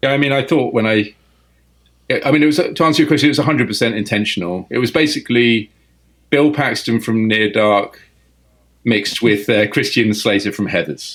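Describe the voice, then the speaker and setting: In an English accent, the speaker keeps a fairly quick pace and very even loudness, with ordinary pitch variation and long, frequent pauses. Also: man, medium pitch for a man. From England. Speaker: film director. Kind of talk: interview. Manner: halting.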